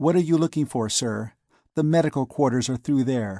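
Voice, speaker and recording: A put-on character voice at a moderate pace, with ordinary pitch variation and a dry, close sound free of echo. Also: man. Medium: read story.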